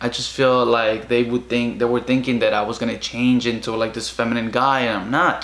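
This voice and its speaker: A man speaks with a Spanish accent at a moderate pace, his pitch medium and intonation fairly even. Audible room echo surrounds the voice. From Guatemala. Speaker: vlogger. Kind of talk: casual personal vlog monologue. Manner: halting, many fillers. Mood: emotional, reflective. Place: home room. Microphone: camera far.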